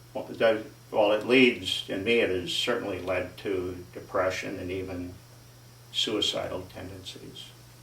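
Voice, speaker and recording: A man speaks at a fairly slow pace with fairly even intonation and big swings in loudness, with audible room echo and noticeable background noise. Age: 60s. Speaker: interviewee, resident affected by turbines. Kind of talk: interview. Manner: halting.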